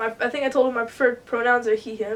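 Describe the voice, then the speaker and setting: Over noticeable background noise, a woman with an American accent speaks fairly quickly in a high, monotone voice with flat intonation. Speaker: vlogger. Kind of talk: casual chat. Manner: rambling, hesitant with many fillers.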